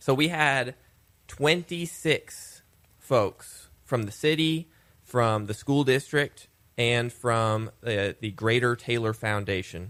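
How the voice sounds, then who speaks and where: A man speaks very slowly at medium pitch, his pitch varying in an ordinary way. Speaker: city communications director. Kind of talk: casual radio chat. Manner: shifts voice with listener or topic.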